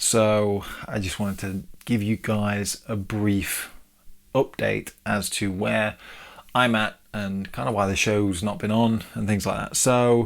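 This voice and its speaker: A man speaks quietly and very slowly in an English accent, at a fairly low pitch with fairly even intonation. The recording is very clean, with a silent background. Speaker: podcast host, new father. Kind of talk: solo podcast monologue. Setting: home, baby's changing room, no studio. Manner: casual, hesitant with fillers.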